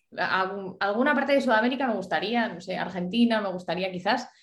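A woman speaks in a plain, everyday voice. Her pitch sits fairly high, and her intonation is lively. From Spain, El Bierzo (León). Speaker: singer-songwriter. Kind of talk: interview.

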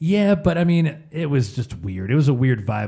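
A medium-pitched man, somewhat breathy, at a moderate pace. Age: 30s. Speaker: podcast co-host. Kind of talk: casual chat.

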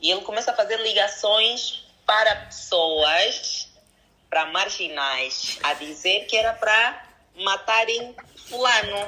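This woman talks very slowly, at a fairly high pitch. Her intonation is lively and her loudness stays very even. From DR Congo. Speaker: entrepreneur. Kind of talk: casual chat.

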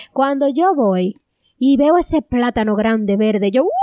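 A woman talks at a moderate pace with lively intonation, the sound dry and close with no echo. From Dominican Republic, rural Cibao. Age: 30s. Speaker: podcast co-host. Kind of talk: casual chat.

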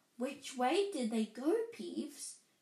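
Using a put-on character voice, a woman talks slowly at a high pitch, with vocal fry, a dark, mellow tone and big swings in pitch.

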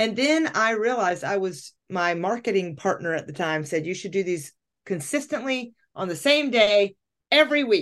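In a quiet background, a woman at a medium pitch speaks at a moderate pace with very wide pitch swings. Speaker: life coach and podcast host. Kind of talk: casual chat. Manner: loud; talkative.

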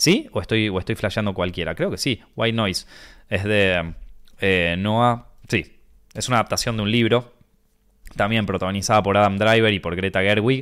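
A man with a fairly low pitch talks at a moderate speed. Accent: Rioplatense. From Argentina. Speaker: podcast host, film critic. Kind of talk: casual chat. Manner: quieter than usual; animated.

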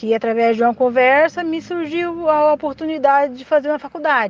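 A woman with a plain, everyday voice talks at a fairly quick pace with lively intonation, the sound dry and close with no echo. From Brazil, Mato Grosso. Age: 40s. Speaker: domestic worker and student. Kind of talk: personal testimony.

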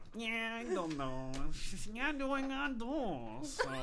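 A nasal, fairly high-pitched, put-on character voice moves at a very slow pace over noticeable background noise.

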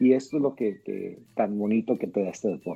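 Speaking at a medium pitch, a man has a dark, mellow tone and ordinary pitch variation. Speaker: youth baseball league director. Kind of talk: casual interview.

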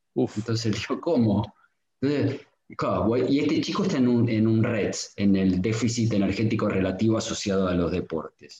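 A man of medium pitch speaks in a Rioplatense accent at a moderate pace, his loudness very even and his pitch variation ordinary. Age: 50s. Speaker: pediatric sports physician. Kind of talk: casual interview chat.

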